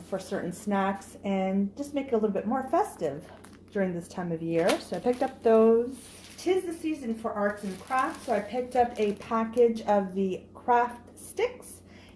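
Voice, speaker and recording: Her intonation is lively. The woman speaks at a fairly slow pace in a fairly high pitch. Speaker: haul vlogger. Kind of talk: product haul video. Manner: animated.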